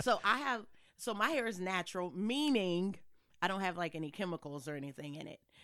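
On a very clean recording with a silent background, a woman speaks at medium pitch and a fairly quick pace. Her tone is animated, bright and sharp, with very wide pitch swings and big swings in loudness. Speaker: podcast co-host. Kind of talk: casual chat. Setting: same room, socially distanced.

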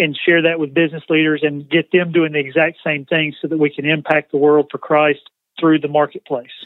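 The speaker talks at a fairly quick pace with a Southern US accent. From US South, Georgia. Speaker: nonprofit CEO, former car dealership president. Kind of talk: interview.

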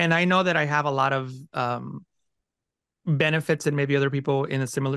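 Against a quiet background, a man with a Spanish accent speaks at a fairly high pitch in monotone, flat intonation. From Mexico, raised in California from age ten. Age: 40s. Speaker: Photoshop educator and YouTube creator. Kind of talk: interview conversation.

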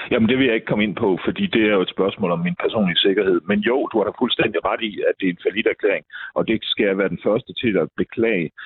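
This man talks at a very fast pace in a fairly low pitch, with hardly any pauses. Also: ordinary pitch variation. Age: 50s. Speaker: local politician. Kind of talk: political debate. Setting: phone call.

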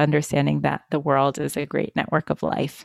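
Fairly quick speech with vocal fry and monotone, flat intonation, dry and close with no echo. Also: woman. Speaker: business strategist. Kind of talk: casual chat. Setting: video call. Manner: gentle and playful.

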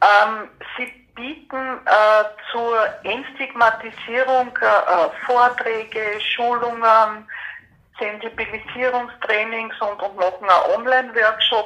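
Very slow speech from a woman with a fairly high pitch, amid noticeable background noise. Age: 50s. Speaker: person with PTSD sharing experience. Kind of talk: interview testimony. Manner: halting.

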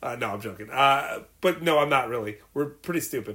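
A man with a plain, everyday voice and fairly high pitch speaks at a fairly slow pace with lively intonation. The recording is very clean, with a silent background. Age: 40s. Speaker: podcast co-host, movie enthusiast. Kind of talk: casual chat. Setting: home studio.

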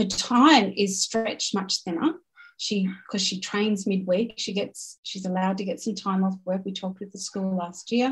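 A somewhat breathy woman with an Australian accent, medium pitch, fairly even intonation and a moderate pace. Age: 50s. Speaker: business owner and team development coach. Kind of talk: casual chat.

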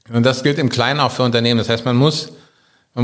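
A man's voice with fairly even intonation. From Germany, Berlin. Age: 50s. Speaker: business owner. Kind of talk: interview. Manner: halting.

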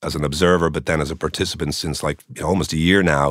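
A man with an Irish accent talks at a very fast pace with fairly even intonation, in a dry, close sound with no echo. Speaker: journalist turned tech entrepreneur. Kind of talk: interview conversation.

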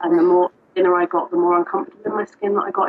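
A woman with a southern English accent. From southern England. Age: 30s. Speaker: coaching program client. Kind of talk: interview testimony.

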